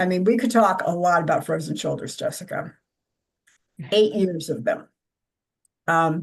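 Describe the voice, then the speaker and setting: The woman's voice sits at medium pitch and has vocal fry. She speaks at a moderate pace. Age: 70s. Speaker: women's circle participant. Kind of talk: casual sharing in a support circle.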